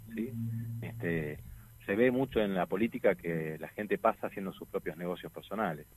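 In a dry, close sound with no echo, a man with a very deep, low pitch speaks at a moderate pace with lively intonation. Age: 50s. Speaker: lawyer and political candidate. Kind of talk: radio interview.

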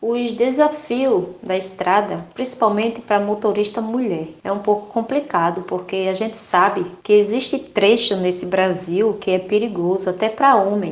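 A woman of medium pitch talks at a moderate pace with hardly any pauses and ordinary pitch variation, over noticeable background noise. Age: 30s. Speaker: truck driver. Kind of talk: interview testimony.

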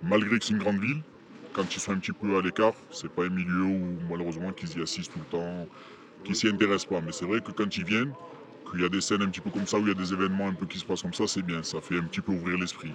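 This man talks very fast. His voice is pitched very deep and low. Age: young. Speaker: prison inmate. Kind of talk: interview.

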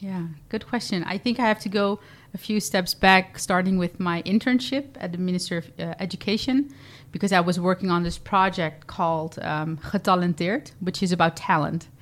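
A woman with a Dutch accent speaks at a medium pitch and a moderate pace, with ordinary pitch variation. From Netherlands, Zeeland (Vlissingen). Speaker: nonprofit director and entrepreneur. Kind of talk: interview. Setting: studio. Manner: hesitant, many fillers.

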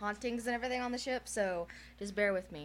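Here a woman talks with a medium pitch. Her intonation is fairly even. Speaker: podcast co-host. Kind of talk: casual, many fillers like "like".

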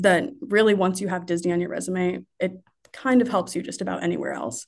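A woman with a Midwestern American accent speaks at a fairly quick pace in a medium pitch. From Indiana, Marion. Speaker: sports marketing coordinator. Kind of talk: casual interview.

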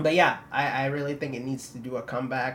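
With noticeable background noise behind him, a man speaks at a fairly quick pace, his medium pitch and intonation fairly even. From Philippines. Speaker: student multimedia reporter. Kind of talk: casual chat.

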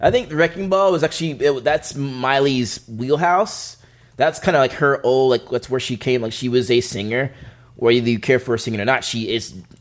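Medium pitch, ordinary pitch variation and a moderate pace from a man with an unremarkable speaking voice. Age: 30s. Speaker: music commentator. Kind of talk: casual chat.

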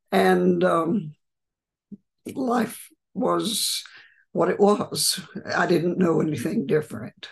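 Speaking very slowly with long, frequent pauses, a woman talks in an American accent. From West Texas. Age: 90s. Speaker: retired therapist and sustainability culture leader. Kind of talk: interview. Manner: warm, laughs often.

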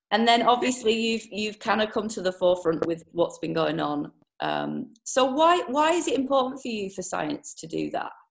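Speaking in a British accent, a woman uses a fairly high pitch with vocal fry at a moderate pace. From UK. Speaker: podcast host. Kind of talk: interview. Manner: animated.

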